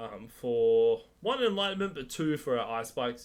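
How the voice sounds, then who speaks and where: Talking fairly slowly, this man has an Australian accent. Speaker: gaming streamer. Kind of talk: tutorial. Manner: casual with fillers.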